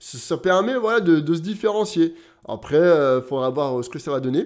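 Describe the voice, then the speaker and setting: A fairly quick, animated male voice, fairly high for a man, with lively intonation over a quiet background. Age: 30s. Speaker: gaming YouTuber. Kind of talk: casual video commentary. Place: home room.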